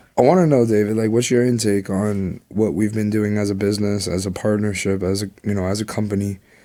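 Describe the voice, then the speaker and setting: A man with a fairly low pitch and a dark, mellow tone speaks at a fairly quick pace, with fairly even intonation and hardly any pauses. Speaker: podcast co-host and real estate investor. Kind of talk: casual chat.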